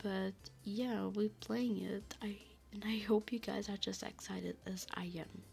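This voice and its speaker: Music plays in the background as the speech moves at a fairly slow pace. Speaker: gaming YouTuber. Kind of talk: casual gameplay commentary. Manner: halting.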